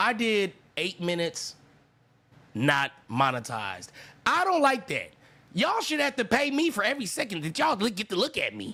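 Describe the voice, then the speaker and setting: Shouting in a raised, projected voice with an American accent, a man speaks in a high pitch with a bright, sharp, animated tone, very wide pitch swings, a moderate pace and long, frequent pauses. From Sacramento, California. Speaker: reaction streamer. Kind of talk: live reaction commentary. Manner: yelling.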